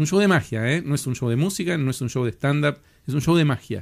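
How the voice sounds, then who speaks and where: Fairly high pitch and lively intonation from a man with an ordinary speaking voice. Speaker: podcast host and show producer. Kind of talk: interview.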